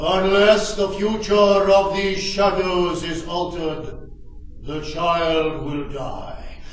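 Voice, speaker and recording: Using a put-on character voice at a high pitch, a man speaks at a very slow pace with a clear echo. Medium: stage play. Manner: solemn, measured.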